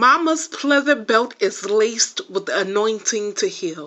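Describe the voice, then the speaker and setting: A woman with an American accent uses a normal speaking voice, fairly high in pitch, with lively intonation at a fairly slow pace. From Los Angeles, California. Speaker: poet and writer. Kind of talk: spoken word poetry reading.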